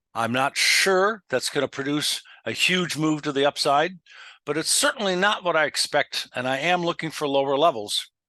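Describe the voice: With lively intonation and a bright, sharp tone, a man speaks at fairly high pitch and a moderate pace in a dry, close sound with no echo.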